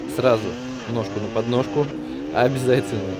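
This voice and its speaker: The man talks fairly quickly while noticeable noise sounds in the background. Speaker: enduro rider vlogger. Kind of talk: voiceover commentary on race footage; casual riding commentary and tips. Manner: explanatory, instructive. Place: motorbike.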